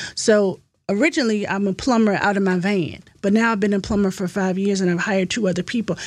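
A woman talks at a fairly quick pace in a normal speaking voice. Her pitch is medium, and she speaks with an American accent. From US South (Virginia). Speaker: real estate agent and historian. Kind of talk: podcast interview.

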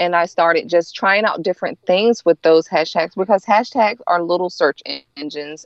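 A woman speaks with a Southern US accent at a fairly low pitch. Her pitch variation is ordinary. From US South, North Carolina. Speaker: chocolate treat maker, small business owner. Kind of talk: interview.

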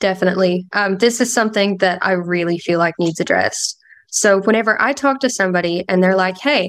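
Speaking with an Appalachian accent, a woman keeps a fairly quick pace. Her pitch is medium, with ordinary variation. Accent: US Southern (Appalachian). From Kentucky, Appalachia. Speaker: sales call team member. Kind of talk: casual interview. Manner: relaxed.

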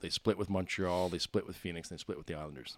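A man speaks in a very deep, low voice with a Maritime Canadian accent. His pitch varies in an ordinary way, and the recording is very clean with a silent background. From Nova Scotia, Canada (Bedford). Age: 40s. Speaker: retired pro hockey player. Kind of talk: casual interview.

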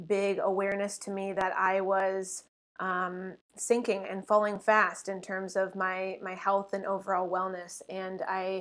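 The delivery is fairly slow, on a very clean recording with a silent background. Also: woman. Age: 30s. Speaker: holistic nutritionist and podcaster. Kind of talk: casual interview chat. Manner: halting, frequent fillers and repeats.

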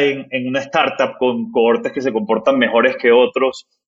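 Very wide pitch swings mark a man's fairly slow speech. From Barranquilla, northern Colombia. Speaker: startup founder and CEO. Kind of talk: interview conversation.

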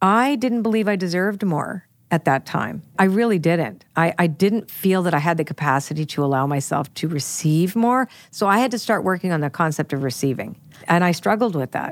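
In a Canadian accent, a woman with an unremarkable speaking voice talks at a fairly quick pace and fairly low pitch with lively intonation, on a very clean recording with a silent background. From Canada. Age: 60s. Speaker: podcast host and psychic reader. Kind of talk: casual chat.

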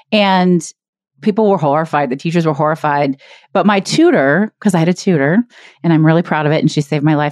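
A woman with an unremarkable speaking voice and a fairly low pitch speaks at a fairly quick pace with ordinary pitch variation, in a dry, close sound with no echo over a quiet background. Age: 40s. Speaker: business coach and podcast host. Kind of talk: casual interview.

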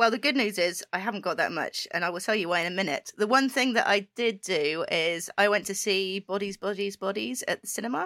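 This woman has a British accent and a medium pitch, and her tone is bright and sharp. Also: ordinary pitch variation, fairly quick pace. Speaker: podcast co-host. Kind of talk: casual chat.

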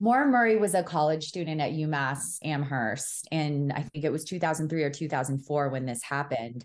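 Against a quiet background, a woman with an American accent speaks at a moderate pace with a very deep, low pitch and lively intonation. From New York City. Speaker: podcast host, guest. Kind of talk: casual chat.

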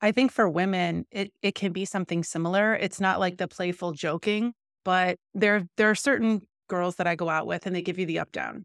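A woman with an American accent, medium pitch, fairly quick pace and fairly even intonation, an ordinary speaking voice, dry and close with no echo, in a very clean recording over a silent background. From US Midwest. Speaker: podcast host and coach. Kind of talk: interview.

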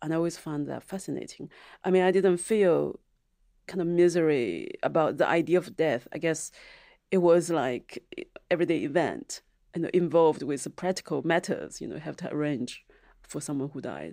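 A woman with a Chinese accent speaks at a moderate pace in a dark, mellow tone at a fairly low pitch, with ordinary pitch variation and big swings in loudness, in a very clean recording with a silent background. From China, Zhejiang. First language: Mandarin Chinese. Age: 40s. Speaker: novelist and filmmaker. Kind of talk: interview. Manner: halting.

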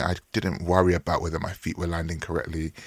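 In a dry, close sound with no echo, a man speaks with a very deep, low pitch. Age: 30s. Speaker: podcast host. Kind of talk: monologue; interview.

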